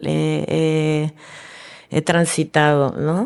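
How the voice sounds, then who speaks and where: A woman's voice with ordinary pitch variation. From Argentina. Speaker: filmmaker. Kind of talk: casual interview. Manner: halting.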